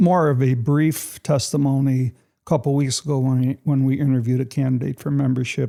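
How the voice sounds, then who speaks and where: Talking at a moderate pace with a Chicago accent, a man has a medium pitch and a dark, mellow tone. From US Midwest, Chicago west side. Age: 70s. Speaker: church member sharing testimony. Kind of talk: testimony. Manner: conversational, with fillers.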